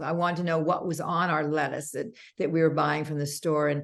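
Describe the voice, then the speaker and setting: A woman with a very deep, low pitch speaks at a fairly quick pace amid audible room echo. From Canada. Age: 60s. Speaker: makeup artist and beauty brand founder. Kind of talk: interview conversation.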